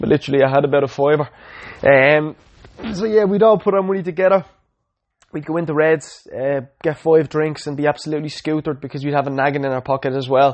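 Speaking very fast, a man uses a fairly high pitch. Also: ordinary pitch variation. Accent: Dublin. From Ireland, Dublin. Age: 20s. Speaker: podcaster. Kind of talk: personal testimony.

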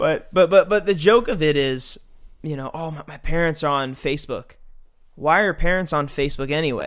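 On a very clean recording with a silent background, a man speaks at a moderate pace in a plain, everyday voice. His pitch is fairly high with ordinary variation, and his loudness swings widely. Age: 20s. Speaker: youth pastor. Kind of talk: casual interview.

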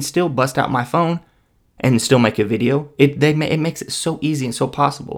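A man talks in a normal speaking voice, fairly high for a male, with ordinary pitch variation. He moves at a fairly quick pace in a very clean recording with a silent background. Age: 30s. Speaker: podcast host. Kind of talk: casual solo monologue.

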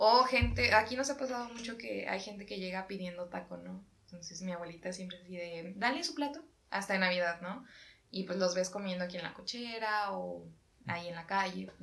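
Over noticeable background noise and audible room echo, a woman talks fairly quickly at a medium pitch, with ordinary pitch variation and big swings in loudness. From Mexico. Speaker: podcast co-host. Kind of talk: casual chat.

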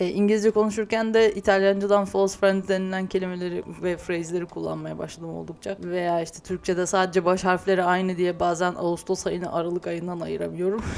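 The speech runs at a fairly quick pace in a flat monotone with hardly any pauses. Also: woman, medium pitch for a woman. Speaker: podcast host, pastry chef. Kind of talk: casual monologue. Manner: hesitant, with laughs.

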